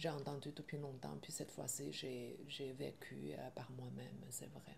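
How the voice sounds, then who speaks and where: Fairly slow speech from a woman with a Chinese accent, with audible room echo. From China. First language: Chinese (speaking French). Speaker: film director. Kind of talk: interview. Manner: halting, with many hesitations.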